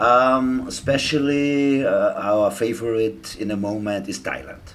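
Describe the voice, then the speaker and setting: Speaking at a fairly slow pace with a German accent, a man holds a medium pitch and fairly even intonation. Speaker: traveller. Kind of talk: casual chat. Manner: halting.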